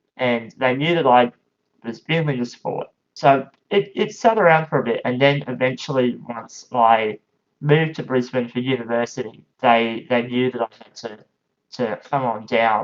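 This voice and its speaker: With an Australian accent, a man at medium pitch speaks at a moderate pace, his pitch varying in an ordinary way and his loudness swinging widely. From Australia, regional Queensland. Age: 20s. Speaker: powerchair football player and commentator. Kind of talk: casual podcast interview. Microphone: lower quality, cutting out in first minutes.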